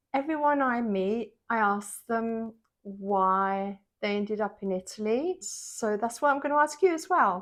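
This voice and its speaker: Over a quiet background, a woman with an English accent speaks fairly slowly at a fairly high pitch, her intonation lively. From England. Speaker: vlogger interviewer. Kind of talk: casual interview chat; vlog narration. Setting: kitchen.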